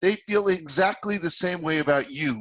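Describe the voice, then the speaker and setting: A man with a New Jersey accent. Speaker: sales consultant and author. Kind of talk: interview. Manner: animated.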